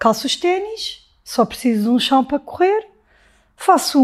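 On a very clean recording with a silent background, a woman talks at a fairly slow pace. Her pitch swings very widely. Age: 40s. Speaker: marathon runner and flight attendant. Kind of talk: casual interview conversation.

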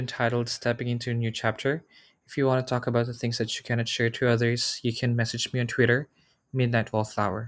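Someone talks very fast with a Filipino accent in a very clean recording with a silent background. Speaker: podcast host. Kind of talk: scripted intro and outro.

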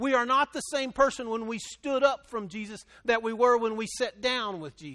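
Raised, projected male voice of extremely high pitch, bright and sharp in tone, with big swings in loudness, on a very clean recording with a silent background. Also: ordinary pitch variation, moderate pace. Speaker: pastor. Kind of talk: sermon. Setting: church with congregation. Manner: loud, animated.

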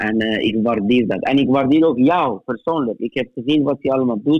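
Pitch rises and falls in an ordinary way in a normal speaking voice. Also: man. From Middle East. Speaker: theologian. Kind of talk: interview. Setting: phone call. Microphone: phone line quality.

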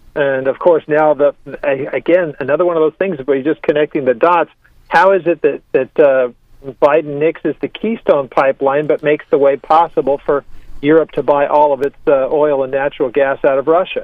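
In a normal speaking voice, a man holds a fairly high pitch and fairly even intonation while talking at a moderate pace. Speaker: pastor. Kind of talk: radio interview. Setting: phone call.

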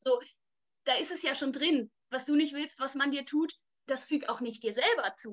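A woman speaks with a high pitch, ordinary pitch variation and a moderate pace. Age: 20s. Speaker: church youth worker. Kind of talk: casual chat.

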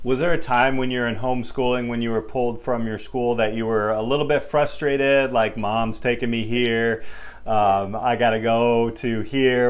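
A man of medium pitch speaks at a moderate pace amid audible room echo. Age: 40s. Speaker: podcast host and business teacher. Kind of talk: interview.

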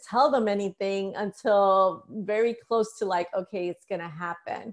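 An ordinary speaking voice moves at a moderate pace with hardly any pauses, in a very clean recording with a silent background. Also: woman. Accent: American. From US Northeast, New York City (the Bronx). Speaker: author. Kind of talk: casual interview.

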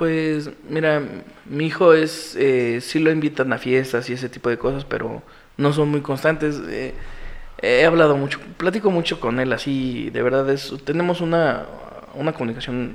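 This man has a Mexican accent and a fairly high pitch. His pace is moderate, with ordinary pitch variation. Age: 30s. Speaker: single father sharing his story. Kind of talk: interview testimony. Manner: halting, many repetitions.

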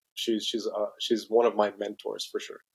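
A man with a slight Brazilian accent. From Brazil (São Paulo), raised in Mexico City. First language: Portuguese. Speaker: company president. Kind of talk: interview. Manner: halting with many fillers and repetitions.

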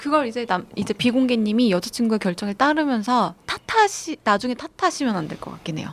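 Hardly pausing, a woman with an unremarkable speaking voice talks at a fairly high pitch with lively intonation. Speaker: psychiatrist and podcast host. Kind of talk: advice podcast chat.

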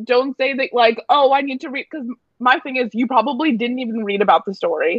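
This woman's voice is high-pitched, with ordinary pitch variation and big swings in loudness. She talks at a fairly quick pace. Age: 20s. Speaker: friend of the host. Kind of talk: casual chat. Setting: phone call.

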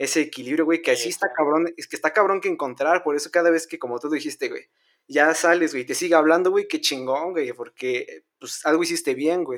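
The recording is very clean, with a silent background. A man with an unremarkable speaking voice talks at a fairly quick pace and a fairly high pitch. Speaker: podcast co-host. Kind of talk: casual chat.

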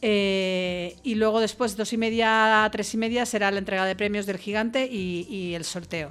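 With music in the background, a woman talks at a fairly high pitch and a moderate pace. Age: 50s. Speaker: foundation vice-president. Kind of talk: radio interview. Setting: radio studio.

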